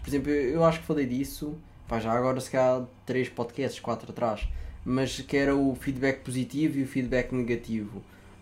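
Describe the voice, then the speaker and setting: A man with a European Portuguese accent speaks at a moderate pace and medium pitch, his intonation monotone and flat. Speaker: podcast host. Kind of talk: casual chat.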